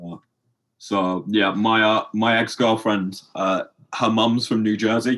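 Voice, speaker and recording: A fairly low-pitched man with an English accent, fairly slow and monotone, his loudness very even against a quiet background. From England. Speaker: podcast host. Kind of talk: podcast interview.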